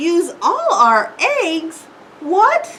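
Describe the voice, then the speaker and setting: A woman uses a put-on character voice that is squeaky and extremely high in pitch. Her pitch swings very widely. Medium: read story. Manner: fretful, exclamatory.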